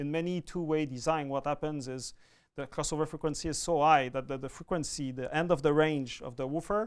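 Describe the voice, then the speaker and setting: A man with a Quebec accent, fairly high pitch and fairly even intonation, at a moderate pace on a very clean recording with a silent background. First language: French. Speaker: audio product manager. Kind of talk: product demonstration.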